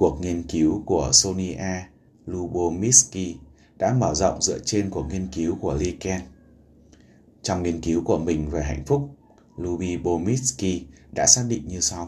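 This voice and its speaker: The voice has a dark, mellow tone with vocal fry, moving at a very slow pace with long, frequent pauses. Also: man, very deep, low pitch for a man, ordinary pitch variation. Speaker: podcast host. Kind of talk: book summary narration.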